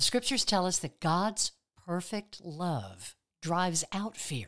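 In a gentle tone, a woman speaks at a fairly slow pace on a very clean recording with a silent background. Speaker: pastoral prayer guide. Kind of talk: guided prayer meditation. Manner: calm, slow, soothing, with long pauses; gentle, reassuring, pastoral.

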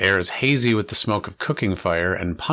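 Someone is reading aloud. The delivery comes in a natural voice.

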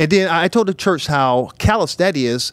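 With an American accent, a man talks at a moderate pace. He has an unremarkable speaking voice with lively intonation. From US Midwest. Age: 50s. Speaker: bishop and church leader. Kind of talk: casual panel discussion.

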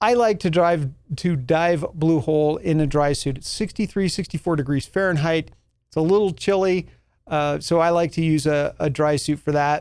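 Talking at a moderate pace, a man with an American accent has a normal speaking voice, a fairly high pitch and ordinary pitch variation. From New Mexico, US. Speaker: podcast host and scuba instructor. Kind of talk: casual solo podcast talk.

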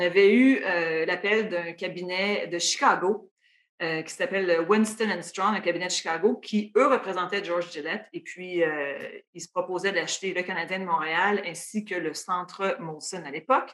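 At a fairly slow pace, a woman speaks in an unremarkable speaking voice at a medium pitch. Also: ordinary pitch variation. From Quebec, Matane (Gaspésie region). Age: 40s. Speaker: sports team executive. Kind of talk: interview.

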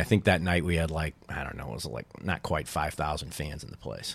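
A man with an American accent speaks at a moderate pace on a very clean recording with a silent background. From St. Louis, Missouri. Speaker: former baseball team co-owner. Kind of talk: casual chat.

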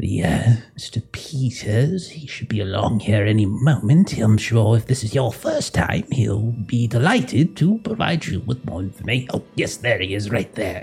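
Speaking at a medium pitch, a man does a put-on character voice. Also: moderate pace. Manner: friendly, jovial.

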